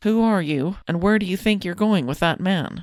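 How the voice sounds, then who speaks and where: A put-on character voice at a middle pitch and moderate pace, in a very clean recording with a silent background. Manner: commanding, challenging.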